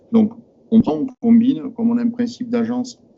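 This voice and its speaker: Music plays in the background as a man talks at an extremely high pitch. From southern France. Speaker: IT manager at a company, audience member. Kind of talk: technical discussion in Q&A. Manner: fast; halting, many hesitations.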